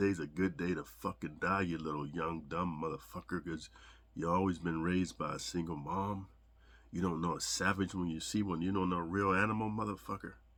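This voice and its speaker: Putting on a character voice, a man speaks very deep and low at a fairly quick pace, sounding strained, with fairly even intonation. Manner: keeping voice down, restrained.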